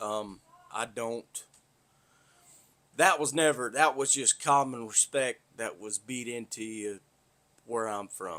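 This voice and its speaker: Speaking very slowly with long, frequent pauses, a man with an American accent and medium pitch has a bright, sharp tone, ordinary pitch variation and big swings in loudness. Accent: Southern accent, noticed by people up north. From US South, north Florida (Tallahassee area). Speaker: podcaster, pipeline worker. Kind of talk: casual monologue.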